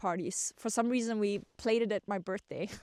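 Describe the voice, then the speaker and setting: This speaker has a German accent and ordinary pitch variation. The recording is very clean, with a silent background and a dry, close sound with no echo. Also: woman. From Germany. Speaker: vlogger. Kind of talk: personal storytelling. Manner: hesitant, many fillers.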